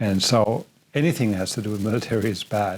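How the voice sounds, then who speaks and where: On a very clean recording with a silent background, a man speaks with a German accent. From Germany. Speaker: podcast host and filmmaker. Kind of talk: interview conversation.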